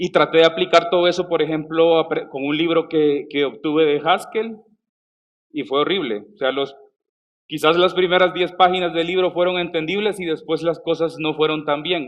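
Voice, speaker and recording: At a moderate pace, a man talks in a high voice with fairly even intonation. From El Salvador. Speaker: software developer, conference speaker. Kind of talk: conference talk. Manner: hesitant, with fillers and restarts.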